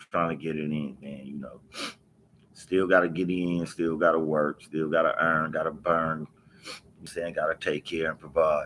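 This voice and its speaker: A man speaks at a fairly quick pace. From US West Coast, Los Angeles. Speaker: streamer telling life story. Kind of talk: casual livestream chat. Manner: laid-back, conversational.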